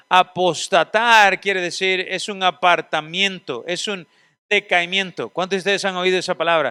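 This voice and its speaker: A man speaks in a raised, projected voice that is high for a man, with a bright, sharp tone, fairly even intonation and a moderate pace, recorded dry and close with no echo on a very clean track with a silent background. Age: 40s. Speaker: seminary teacher. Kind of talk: lecture.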